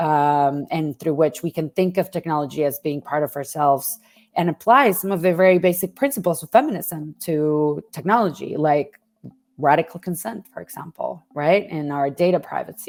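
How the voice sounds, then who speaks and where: With music in the background, a woman in a Spanish accent talks at a moderate pace, her fairly low pitch showing ordinary variation. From Mexico. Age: 30s. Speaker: journalism lecturer and investigative reporter. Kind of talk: interview.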